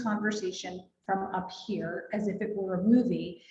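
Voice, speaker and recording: A woman speaks at a medium pitch in a monotone, flat intonation. Audible room echo hangs on her voice. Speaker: real estate agent and trainer. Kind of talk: workshop presentation.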